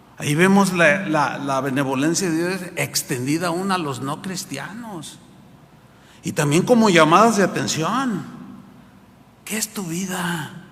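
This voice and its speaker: In a room with audible echo, a man speaks at a high pitch and fairly slow pace with ordinary pitch variation and long, frequent pauses. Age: 60s. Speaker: pastor. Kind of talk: sermon. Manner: animated.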